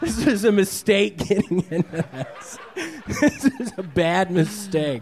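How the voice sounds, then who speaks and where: A man talks at a very slow pace while noticeable background noise runs underneath. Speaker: stand-up comedian guest. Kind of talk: comedic interview answer. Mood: awkward, sheepish humor. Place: stage. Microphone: handheld.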